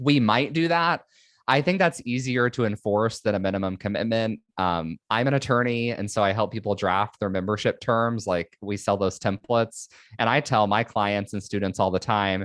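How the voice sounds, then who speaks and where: A man's fairly low voice with ordinary pitch variation, dry and close with no echo, over a quiet background. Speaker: attorney running a tax membership. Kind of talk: podcast interview. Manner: fast.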